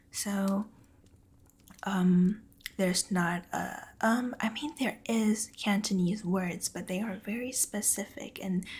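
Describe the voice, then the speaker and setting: Soft-spoken words come at a very slow pace. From Taiwan. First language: Mandarin Chinese. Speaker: ASMR streamer. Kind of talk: casual chat with stream viewers. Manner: quiet.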